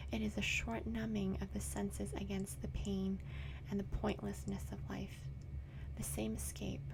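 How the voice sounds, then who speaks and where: The speaker is soft-spoken, with a calm, gentle tone. Noticeable background noise runs underneath. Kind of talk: audiobook-style reading of a novel aloud, bedtime story. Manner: soft-spoken, calm, gentle; not whispered, soft but audible.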